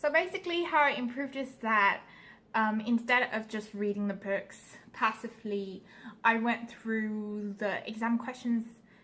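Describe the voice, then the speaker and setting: A woman with a non-native accent speaks at a fairly slow pace in a fairly high pitch, with a bright, sharp tone and ordinary pitch variation. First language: not English. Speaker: vlogger, pre-med student. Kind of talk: casual vlog talk. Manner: halting, many fillers.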